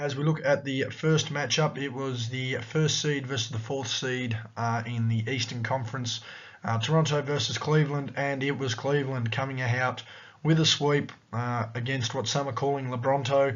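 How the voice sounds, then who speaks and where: In an Australian accent, a man speaks with medium pitch and fairly even intonation. Audible room echo is present. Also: moderate pace. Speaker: sports commentator / YouTuber. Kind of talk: sports analysis vlog.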